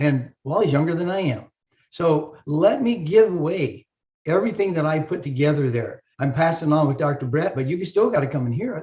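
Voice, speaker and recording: A man's dark, mellow tone at a fairly high pitch, with lively intonation and a fairly quick pace. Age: 70s. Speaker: chiropractor and health educator. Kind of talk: promotional talk. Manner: animated.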